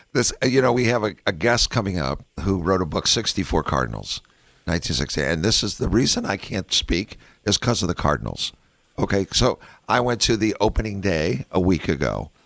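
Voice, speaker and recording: With vocal fry and lively intonation, a man talks at a fairly quick pace. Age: 60s. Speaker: radio host. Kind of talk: casual chat.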